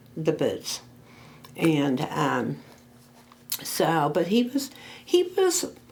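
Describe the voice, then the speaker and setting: A woman talks at a very slow pace with long, frequent pauses. Noticeable background noise runs underneath. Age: 70s. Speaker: oral history interviewee. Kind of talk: oral history interview. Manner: halting.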